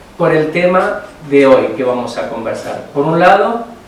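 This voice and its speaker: This man talks at a fairly slow pace with lively intonation, a fairly high pitch and an Argentine accent. Audible room echo and noticeable background noise surround him. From Argentina. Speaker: climatologist and religious brother. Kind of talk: conference talk. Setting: forum with audience.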